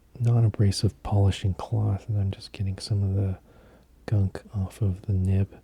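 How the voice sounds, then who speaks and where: Soft-spoken and somewhat breathy, a man talks at a moderate pace in a fairly low pitch, his tone dark and mellow, his intonation fairly even, and the sound dry and close with no echo. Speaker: fountain pen collector. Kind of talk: soft-spoken sleep aid talk.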